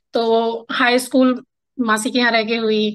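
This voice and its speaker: Against a quiet background, a woman speaks at a fairly high pitch in a bright, sharp tone. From Bihar, Araria district; Bihar, India. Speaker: writer and poet; podcast guest, poet. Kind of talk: interview conversation. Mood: warm, reminiscing. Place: home room. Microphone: video call.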